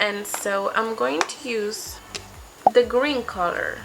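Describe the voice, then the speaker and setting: Over music in the background, a woman with a Spanish accent speaks at a fairly high pitch. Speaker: beauty vlogger. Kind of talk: makeup tutorial. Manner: casual, slightly halting.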